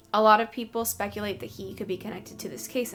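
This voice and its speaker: A woman with an American accent talks at a very fast pace over noticeable background noise. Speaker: true crime youtuber. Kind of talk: casual true crime narration to camera. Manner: trying to improve diction, may stumble over words.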